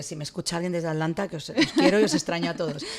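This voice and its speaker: Over noticeable background noise, a woman talks at a very fast pace in a fairly low pitch with fairly even intonation. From Spain. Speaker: journalist. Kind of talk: interview.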